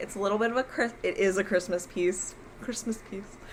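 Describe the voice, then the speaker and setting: A woman's fairly quick speech amid noticeable background noise. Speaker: crafting video host. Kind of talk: casual chat. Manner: fast; hesitant, many fillers.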